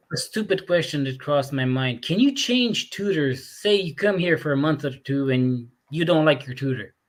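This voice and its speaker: A man talks with lively intonation at a fairly high pitch. His pace is moderate, with hardly any pauses. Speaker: recruitment host. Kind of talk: casual chat. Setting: video call.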